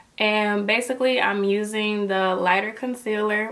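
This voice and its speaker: Noticeable background noise sits behind a woman at a medium pitch. She speaks at a fairly slow pace with fairly even intonation. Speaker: beauty youtuber. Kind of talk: makeup tutorial. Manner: casual, chatty.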